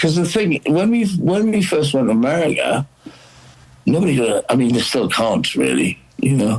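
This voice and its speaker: Over noticeable background noise, a man speaks at a moderate pace with very wide pitch swings. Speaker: rock singer. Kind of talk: casual chat.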